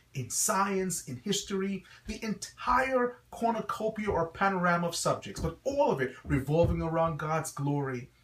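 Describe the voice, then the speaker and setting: With a slight Guyanese accent, a man talks at a high pitch and a fairly slow pace with lively intonation. He hardly pauses at all. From Guyana, West Indies. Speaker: pastor and school founder. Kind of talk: promotional address. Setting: website video.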